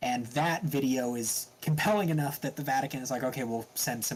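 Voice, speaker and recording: The speaker has an American accent and talks at a fairly quick pace with ordinary pitch variation. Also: man. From US. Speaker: podcast co-host. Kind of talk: casual chat. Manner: halting.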